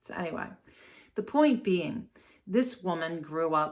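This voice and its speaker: A woman with an American accent and a fairly low pitch speaks at a fairly slow pace with lively intonation. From US Mid-Atlantic, Baltimore and Maryland Eastern Shore. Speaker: astrologer. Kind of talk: casual commentary.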